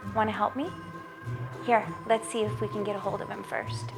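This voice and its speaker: A woman's voice with music in the background. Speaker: storyteller. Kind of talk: host intro to camera.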